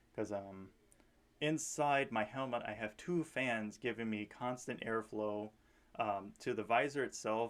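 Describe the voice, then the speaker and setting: A man speaks at a fairly slow pace in a fairly low pitch. His intonation stays fairly even. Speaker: airsoft player vlogger. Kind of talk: casual video commentary. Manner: halting, many fillers. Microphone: action camera on helmet, poor audio.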